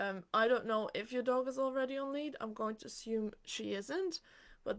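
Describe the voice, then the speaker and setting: Moderate pace and ordinary pitch variation in a normal speaking voice. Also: woman. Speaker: dog trainer. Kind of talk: live Q&A. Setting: livestream. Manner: casual with many fillers.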